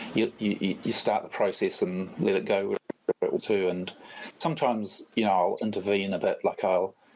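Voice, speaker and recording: This is a man speaking. He has a New Zealand accent. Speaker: photographer. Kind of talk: casual chat. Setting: online voice chat. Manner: halting, many fillers.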